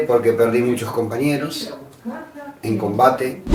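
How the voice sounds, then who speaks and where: Audible room echo and noticeable background noise surround a man speaking with fairly even intonation. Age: 60s. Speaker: war veteran. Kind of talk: interview.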